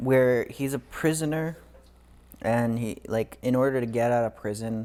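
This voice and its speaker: A man mumbling quietly in a dark, mellow tone. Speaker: podcast co-host. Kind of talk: casual chat. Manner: quiet talker; mumbles.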